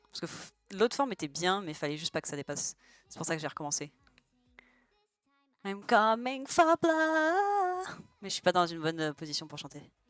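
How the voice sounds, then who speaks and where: A woman's voice with very wide pitch swings at a moderate pace, broken by long, frequent pauses. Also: big swings in loudness, dry, close sound with no echo. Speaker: streamer. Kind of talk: casual chat. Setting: live stream while drawing.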